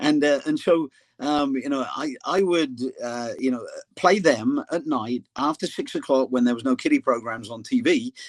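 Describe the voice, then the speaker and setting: Against a quiet background, a man with an English accent speaks at a moderate pace in a dry, close sound with no echo. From England. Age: 60s. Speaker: soccer coach. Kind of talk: casual interview.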